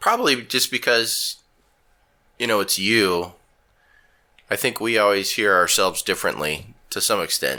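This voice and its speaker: Recorded very cleanly against a silent background, a man speaks at a moderate pace and medium pitch with ordinary pitch variation, a bright, sharp tone and long, frequent pauses. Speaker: podcast co-host. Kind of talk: casual chat.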